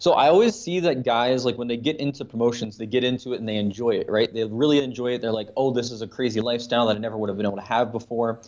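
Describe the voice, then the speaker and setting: A man with an American accent races along at a very fast pace with hardly any pauses and fairly even intonation. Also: medium pitch for a man. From Maryland, US. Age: 20s. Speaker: lifestyle coach and former club promoter. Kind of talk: casual interview.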